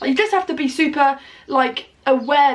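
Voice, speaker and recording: A loud woman with an animated tone at a moderate pace, over noticeable background noise. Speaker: vlogger. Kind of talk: casual chat.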